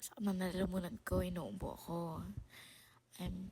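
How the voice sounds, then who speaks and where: Speaking at a very slow pace, a woman uses a fairly low voice with ordinary pitch variation. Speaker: podcast host. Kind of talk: casual monologue. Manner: halting. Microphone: low quality recording.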